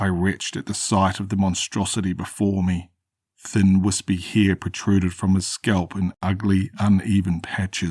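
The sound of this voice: Someone reads in an unforced voice against a quiet background.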